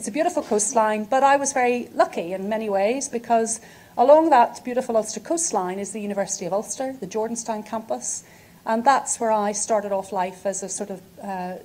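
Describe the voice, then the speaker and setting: In a Northern Irish accent, a woman with a fairly high pitch and a dark, mellow tone talks at a fairly quick pace, her loudness swinging widely and her pitch varying in an ordinary way. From Northern Ireland, Belfast. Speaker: physiotherapy professor. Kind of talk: academic lecture.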